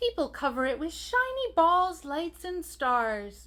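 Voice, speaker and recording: In a squeaky, put-on character voice, a woman talks at an extremely high pitch and a fairly slow pace with very wide pitch swings. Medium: read story. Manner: gentle, kind.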